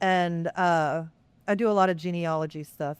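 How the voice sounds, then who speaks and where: In a Texas accent, the speaker talks at a moderate pace with fairly even intonation, and the very clean recording has a silent background and a dry, close sound with no echo. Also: woman. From Texas, Lockhart. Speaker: pastor. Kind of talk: interview. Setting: podcast recording.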